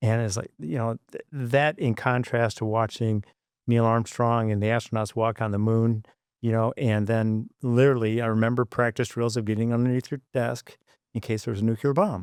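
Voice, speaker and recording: A man's fairly even delivery at a moderate pace, dry and close with no echo, in a very clean recording with a silent background. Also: medium pitch for a man. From US Midwest, Jackson, Michigan. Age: 60s. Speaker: engineer and former flight controller. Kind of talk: interview. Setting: podcast studio.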